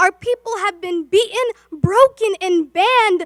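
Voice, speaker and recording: In a dry, close recording with no echo, a woman projects a raised voice at an extremely high pitch, her tone bright and sharp, her pace moderate and her pitch variation ordinary. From Somalia. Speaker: spoken word poet. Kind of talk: spoken word poetry performance. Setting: virtual event. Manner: impassioned, rhythmic.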